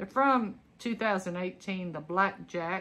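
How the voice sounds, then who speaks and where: Speaking at a very slow pace in a Southern US accent, a woman has a bright, sharp tone and fairly even intonation. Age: 50s. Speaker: clothing reseller, retired teacher. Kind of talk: casual unboxing vlog. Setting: home recording. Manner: chatty, conversational. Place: home room. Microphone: phone near.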